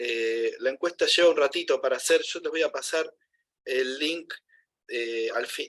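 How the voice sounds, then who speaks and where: A man with a Rosario accent talks at a fairly slow pace. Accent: Rosario Argentine Spanish. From Rosario, Argentina. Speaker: university lecturer. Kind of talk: class announcements.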